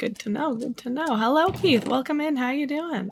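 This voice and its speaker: Over music in the background, a woman speaks in a Canadian accent with ordinary pitch variation. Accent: Canadian, sentences sound like questions. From Canada. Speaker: video game streamer. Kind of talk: casual live-stream chat. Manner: animated.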